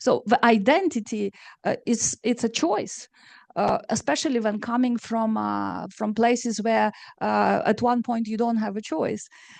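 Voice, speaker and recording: In a Romanian accent, the speaker talks at a fairly slow pace with ordinary pitch variation, the sound dry and close with no echo against a quiet background. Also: woman, fairly high pitch for a woman. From Moldova, Chisinau. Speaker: novelist. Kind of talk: panel discussion. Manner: hesitant, many fillers.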